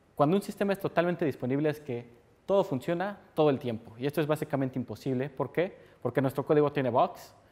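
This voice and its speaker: His pitch shifts in an ordinary way. The man talks very fast. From Mexico. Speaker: software developer, conference speaker; conference speaker. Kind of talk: technical conference talk. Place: meeting room. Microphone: lapel.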